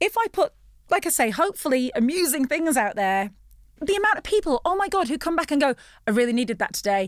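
Very fast and high-pitched, a woman with an English accent speaks with very wide pitch swings and very even loudness in a dry, close sound with no echo. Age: 40s. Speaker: former TV presenter and voiceover artist. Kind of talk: casual chat. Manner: animated.

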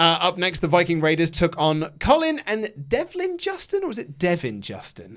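With an English accent, a man speaks at a moderate pace with hardly any pauses and big swings in loudness. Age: 30s. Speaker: wrestling podcast host. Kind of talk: casual chat.

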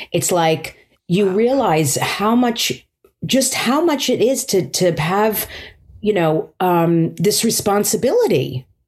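The speaker talks very slowly, with very wide pitch swings and very even loudness. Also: woman, medium pitch for a woman. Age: 50s. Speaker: stand-up comedian. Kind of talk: casual chat.

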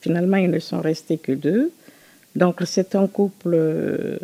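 Her tone dark and mellow, a woman speaks at a very slow pace in a dry, close sound with no echo. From Guinea, Conakry. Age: 70s. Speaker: retired nurse's aide and activist. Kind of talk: personal testimony interview.

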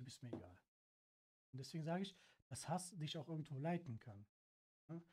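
Somewhat breathy, a man talks at a fairly quick pace with lively intonation and long, frequent pauses. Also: fairly high pitch for a man. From Cologne, Germany. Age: 30s. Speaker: car detailer. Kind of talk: casual chat.

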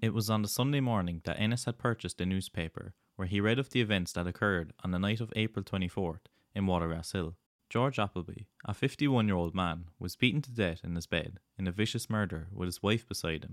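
A man with a fairly low pitch talks very fast, with ordinary pitch variation. The recording is very clean with a silent background and a dry, close sound with no echo. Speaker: podcast host. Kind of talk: true-crime narration, scripted-sounding. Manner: measured, grave, even-paced storytelling; sombre and matter-of-fact, stressing the brutal details.

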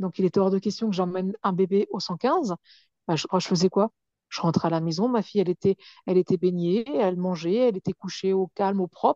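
Fairly quick in pace, a woman speaks at medium pitch with fairly even intonation. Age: 40s. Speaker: writer and speaker, abuse survivor. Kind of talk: testimony. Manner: halting.

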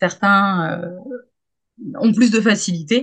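A woman's somewhat breathy voice with ordinary pitch variation over a quiet background. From Hauts-de-France, Saint-Quentin. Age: 30s. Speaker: pole dance teacher. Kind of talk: casual chat. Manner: hesitant, many fillers and repetitions.

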